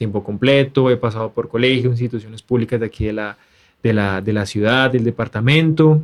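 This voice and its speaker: A man speaks at a moderate pace in an ordinary speaking voice, recorded very cleanly against a silent background. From Colombia, Tuluá, Valle del Cauca. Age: 20s. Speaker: university language teacher and interpreter. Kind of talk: casual interview.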